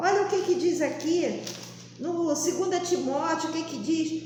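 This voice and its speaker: Amid noticeable background noise and audible room echo, a woman speaks at an extremely high pitch. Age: 60s. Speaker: lay preacher. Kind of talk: sermon.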